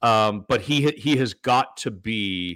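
Lively intonation carries a voice with an Ontario accent. The recording is very clean, with a silent background. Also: man. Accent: Canadian (Ontario). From Toronto area, Canada. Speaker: former sports radio host. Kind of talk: casual sports talk interview.

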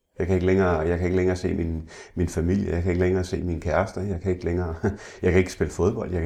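A man talks in a very deep, low pitch with a somewhat breathy voice. His tone is dark and mellow. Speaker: blind interviewee, former salesman. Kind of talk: interview. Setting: at home. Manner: halting, repeats words.

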